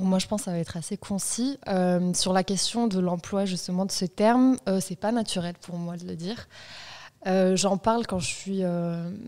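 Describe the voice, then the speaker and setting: With a medium pitch and a dark, mellow tone, a woman speaks at a moderate pace and with fairly even intonation. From Marseille, southern France. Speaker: journalist. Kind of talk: casual chat. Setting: studio. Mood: relaxed, reflective. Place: studio. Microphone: studio mic.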